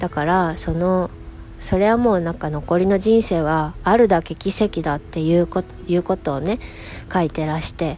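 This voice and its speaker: This woman's voice has a dark, mellow tone and a fairly low pitch with ordinary pitch variation. She moves at a moderate pace. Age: 40s. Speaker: illustrator and podcast host. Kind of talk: casual solo monologue. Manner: frequent laughter.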